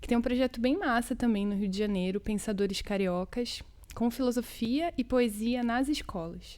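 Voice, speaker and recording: With ordinary pitch variation and a fairly high pitch, a woman talks at a moderate pace. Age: 20s. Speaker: poet and educator, cultural worker. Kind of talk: interview conversation. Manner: casual, colloquial.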